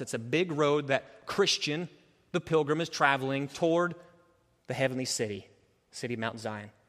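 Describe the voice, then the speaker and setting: This man has a plain, everyday voice at a fairly high pitch. He talks at a moderate pace with ordinary pitch variation. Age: 30s. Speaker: pastor. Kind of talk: sermon. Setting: church.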